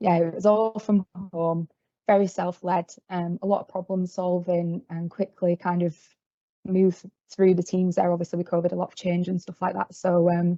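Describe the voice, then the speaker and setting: In a Yorkshire accent, a woman talks in a fairly low, dark, mellow voice. Her intonation is monotone and flat, and the sound is dry and close with no echo. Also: moderate pace. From Yorkshire, northern England. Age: 20s. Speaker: field service engineer trainee. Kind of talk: career talk presentation. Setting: video call meeting. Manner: hesitant, many fillers.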